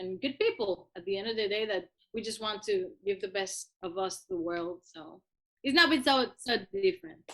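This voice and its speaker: With a Cuban accent, this woman speaks at a medium pitch, using lively intonation and big swings in loudness. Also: moderate pace. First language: Spanish. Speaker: musician. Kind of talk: interview. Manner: halting.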